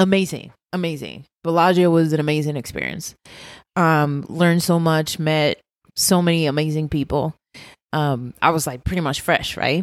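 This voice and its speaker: Fairly even intonation at a moderate pace with a Puerto Rican accent, on a very clean recording with a silent background. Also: woman, very deep, low pitch for a woman. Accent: Puerto Rican, rolled R's. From Puerto Rico. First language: Spanish. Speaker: pastry chef. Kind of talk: casual chat.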